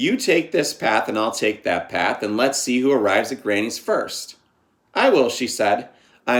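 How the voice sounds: Quiet surroundings behind a natural reading voice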